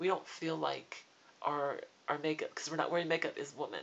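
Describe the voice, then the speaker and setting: In a normal speaking voice, the speaker goes at a moderate pace. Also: woman. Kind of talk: casual talk to camera.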